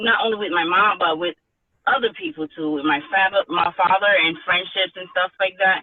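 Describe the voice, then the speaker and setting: A woman is speaking. Her voice sits at a medium pitch. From Haiti, moved to US at ten. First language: Haitian Creole or French. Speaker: author. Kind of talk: interview. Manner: halting, many fillers and restarts.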